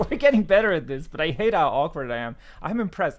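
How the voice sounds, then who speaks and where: At a very fast pace, a man talks with very wide pitch swings. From France. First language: French. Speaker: podcast co-host, programmer presenting. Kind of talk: casual chat. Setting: video call.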